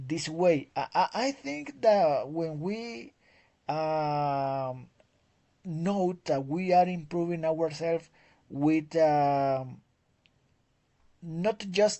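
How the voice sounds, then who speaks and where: A Spanish accent at a very slow pace with long, frequent pauses. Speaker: English teacher. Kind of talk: conversation class. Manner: halting, many repetitions.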